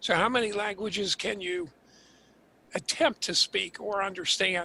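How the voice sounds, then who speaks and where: Raised and projected, a man's voice has a bright, sharp tone and high pitch, with ordinary pitch variation, a moderate pace, and an American accent. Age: 60s. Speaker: transcontinental runner. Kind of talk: casual interview chat.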